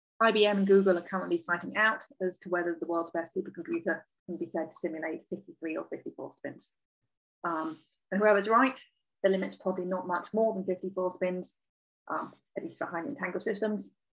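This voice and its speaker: A woman talks at a fairly quick pace with ordinary pitch variation over a quiet background. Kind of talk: lecture. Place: home room. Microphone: webcam.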